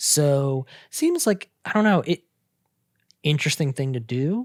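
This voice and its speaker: A very clean recording with a silent background, delivered at a fairly slow pace. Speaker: podcast host. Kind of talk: casual chat.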